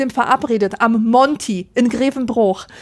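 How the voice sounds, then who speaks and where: Ordinary variation runs through a woman's pitch as she talks. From Rhineland, Germany. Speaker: podcast co-host. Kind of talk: casual chat.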